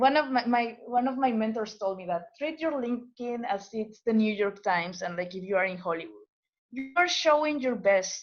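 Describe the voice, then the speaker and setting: The speaker has a non-native accent. The intonation is lively. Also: woman. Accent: foreign. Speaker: postdoctoral scientist. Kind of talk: webinar presentation. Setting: webinar video call. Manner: halting, many repetitions and fillers.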